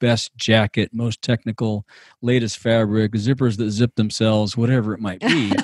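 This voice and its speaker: A man talks at a moderate pace in an ordinary speaking voice with a fairly low pitch. The sound is dry and close with no echo, on a very clean recording with a silent background. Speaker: outdoor industry podcaster and business coach. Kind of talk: casual interview chat.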